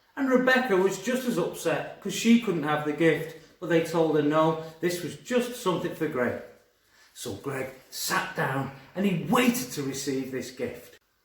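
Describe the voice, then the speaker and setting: Pitched high, a man's voice swings very widely in pitch at a fairly slow pace. There is audible room echo. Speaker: primary school teacher. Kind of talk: storytelling; school assembly talk. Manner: animated; whispering.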